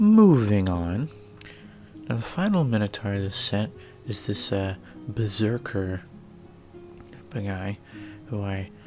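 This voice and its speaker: Over music in the background, a man with a fairly low pitch talks at a very slow pace with ordinary pitch variation and long, frequent pauses. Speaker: hobby miniature painter. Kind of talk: casual hobby vlog narration. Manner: hesitant, casual.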